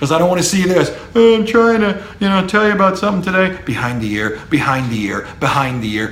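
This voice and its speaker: A man with an animated tone and very wide pitch swings at a fairly quick pace, amid noticeable background noise and audible room echo. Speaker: professor. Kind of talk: lecture.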